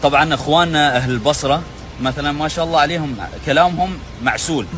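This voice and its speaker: This man's pitch is fairly high, with ordinary variation. There is noticeable background noise. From Oman. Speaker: Omani man explaining Basra dialect. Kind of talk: casual explanation to camera.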